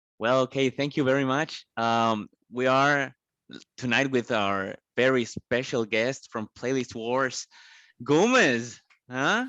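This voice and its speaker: In a Spanish accent, a man with a medium pitch and a bright, sharp tone speaks very slowly with fairly even intonation, recorded dry and close with no echo against a quiet background. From Colombia. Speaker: podcast host. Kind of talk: interview. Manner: halting, many repetitions.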